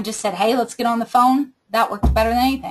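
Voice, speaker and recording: A woman's fairly high voice comes across somewhat breathy. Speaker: team leader training direct sales recruiters. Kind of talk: training webinar.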